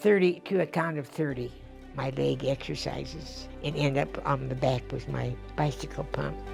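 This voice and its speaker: A woman keeps a moderate pace as music plays in the background. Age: 80s+. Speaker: centenarian interviewee. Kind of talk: interview answer.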